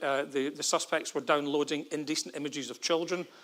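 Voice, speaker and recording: Fairly high in pitch and fairly even in intonation, a man speaks with a Scottish accent. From Scotland, Glasgow. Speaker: forensic psychologist, former military police detective. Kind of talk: conference talk. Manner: fast.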